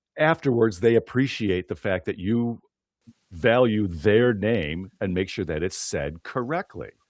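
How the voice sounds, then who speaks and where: A plain, everyday voice belongs to this man, who speaks fairly slowly at a fairly low pitch with an American accent and lively intonation, on a very clean recording with a silent background and a dry, close sound with no echo. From US, western New York (Buffalo area). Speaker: podcast host and PA announcer. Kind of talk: interview podcast.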